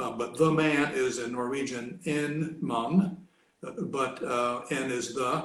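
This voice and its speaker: The speaker talks very slowly with an American accent and ordinary pitch variation, with audible room echo. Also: man, fairly high pitch for a man. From Kentucky, US South. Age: 70s. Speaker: retired academic, language hobbyist. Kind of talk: casual interview. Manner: hesitant, many fillers.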